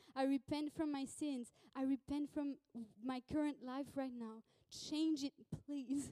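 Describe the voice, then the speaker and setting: With a non-native accent, a woman speaks at a high pitch in a dark, mellow tone, recorded with a dry, close sound and no echo. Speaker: pastor. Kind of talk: sermon. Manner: animated.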